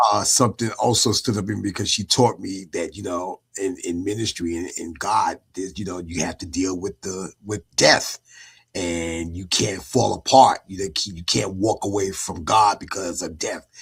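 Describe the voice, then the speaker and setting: In a very clean recording with a silent background, a man speaks at a moderate pace in a very deep, low voice that is somewhat breathy, with fairly even intonation. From Brooklyn, New York (Bed-Stuy). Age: 50s. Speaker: entertainment industry figure and minister. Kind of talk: interview testimony.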